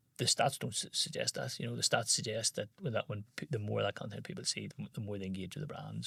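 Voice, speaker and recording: Very fast and with a Northern Irish accent, a man speaks on a dry, close recording with no echo. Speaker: business founder. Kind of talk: interview. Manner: halting.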